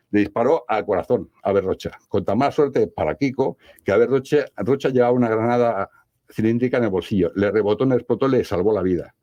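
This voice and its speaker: Dry and close with no echo, a man's dark, mellow voice races at a very fast pace. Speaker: paranormal investigator. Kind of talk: radio interview. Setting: radio studio.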